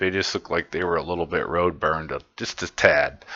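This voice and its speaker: At a fairly quick pace, a man speaks in a very deep, low pitch. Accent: Midwestern US. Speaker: metal concert reviewer, YouTuber. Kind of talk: casual monologue video review. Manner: casual, rambling with fillers and profanity.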